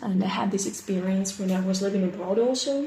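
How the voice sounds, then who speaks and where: A woman with a Russian accent speaks at a medium pitch, with noticeable background noise and audible room echo. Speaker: English teacher. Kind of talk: self-introduction video. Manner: halting, many fillers.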